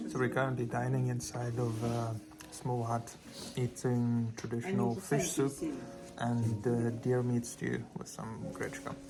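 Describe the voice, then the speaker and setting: Recorded with audible room echo and noticeable background noise, a man talks at a fairly slow pace with ordinary pitch variation. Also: medium pitch for a man. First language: Afrikaans. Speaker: travel vlogger. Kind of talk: travel vlog narration. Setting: outdoors.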